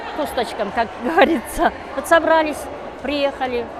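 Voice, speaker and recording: A woman's high voice comes through noticeable background noise, with audible echo in the room. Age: 60s. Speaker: amateur volleyball player. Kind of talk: interview. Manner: halting, many fillers.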